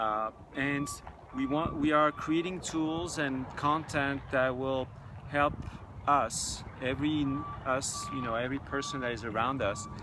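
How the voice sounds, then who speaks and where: Noticeable background noise and audible room echo surround a man speaking at a fairly slow pace. His pitch is fairly high and his intonation fairly even. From France (Paris). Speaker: technology entrepreneur and spiritual teacher. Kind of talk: interview. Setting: outdoors. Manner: halting.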